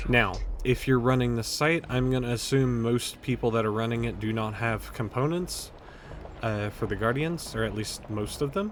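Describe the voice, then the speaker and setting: A man speaks quietly at a medium pitch and a fairly quick pace, with fairly even intonation. Noticeable background noise runs underneath. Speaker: video game tutorial creator. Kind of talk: tutorial. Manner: speaking up loudly.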